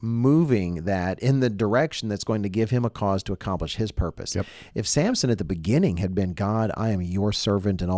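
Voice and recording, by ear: A passage is read aloud in a natural voice. Pitch moves up and down in an ordinary way.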